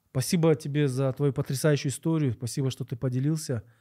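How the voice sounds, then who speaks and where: Recorded very cleanly with a silent background and a dry, close sound with no echo, a man speaks at a moderate pace and medium pitch in a dark, mellow, somewhat breathy tone with fairly even intonation. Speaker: podcast host. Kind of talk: interview; scripted narration.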